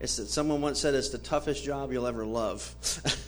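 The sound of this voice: An unforced reading voice delivers the passage.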